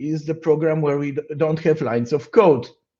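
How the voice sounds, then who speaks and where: This man's tone is dark and mellow. His pitch runs fairly high. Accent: Polish. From Poland. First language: Polish. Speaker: software engineer / conference speaker. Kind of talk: conference talk. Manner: halting, with many fillers.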